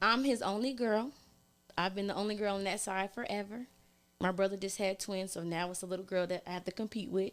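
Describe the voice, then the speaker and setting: A woman with a plain, everyday voice talks at a fairly quick pace, her medium pitch held in fairly even intonation. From California (Oakland). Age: 30s. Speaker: podcast guest, single mom. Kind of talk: casual chat.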